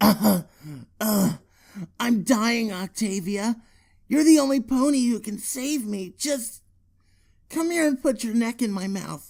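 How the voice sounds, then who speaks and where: Putting on an extremely high-pitched character voice, a man speaks at a fairly slow pace with long, frequent pauses. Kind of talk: read story. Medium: read story. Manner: feeble, pleading.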